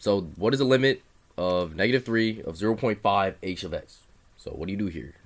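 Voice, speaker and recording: A man talks at a fairly quick pace. His fairly low voice has ordinary pitch variation. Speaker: math tutor. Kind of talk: tutorial. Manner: fast; casual, hesitant.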